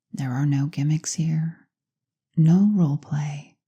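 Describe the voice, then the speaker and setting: Soft-spoken and somewhat breathy, a woman talks at a very slow pace with a very deep, low pitch, a dark, mellow tone and ordinary pitch variation. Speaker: clinical hypnotherapist. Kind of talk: guided hypnosis session.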